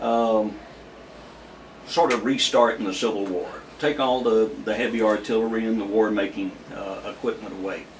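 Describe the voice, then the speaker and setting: A man with a Southern US accent at medium pitch and moderate pace, fairly even intonation, long, frequent pauses, audible room echo and noticeable background noise. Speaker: retired army aviator, local history source. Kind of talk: interview. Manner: halting, many filler words.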